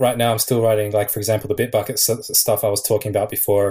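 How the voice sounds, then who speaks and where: In a very clean recording with a silent background, a man speaks with an Australian accent. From Australia (Sydney). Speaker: app developer. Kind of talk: casual chat.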